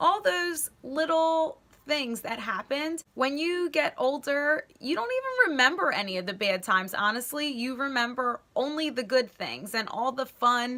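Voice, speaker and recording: Amid noticeable background noise, a woman with high pitch uses a raised, projected voice and lively intonation at a moderate pace with hardly any pauses. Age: 20s. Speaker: lifestyle vlogger. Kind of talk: casual talk to camera. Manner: casual, conversational.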